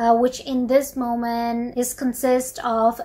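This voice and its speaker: Over noticeable background noise, a woman with a non-native accent and a high pitch speaks very slowly. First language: not English. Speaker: book reviewer. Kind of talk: book review talk to camera. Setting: poor sound quality.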